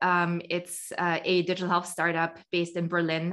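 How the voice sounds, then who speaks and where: The delivery is monotone, with flat intonation, at a moderate pace. The background is quiet. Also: woman. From Austria. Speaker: startup founder. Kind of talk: interview.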